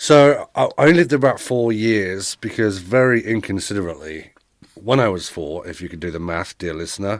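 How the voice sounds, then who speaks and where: On a very clean recording with a silent background, a man in an English accent talks at a fairly quick pace with lively intonation. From England, Milton Keynes (born East London). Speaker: podcast guest, immigrant. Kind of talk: casual interview chat. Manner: halting, stumbling over words.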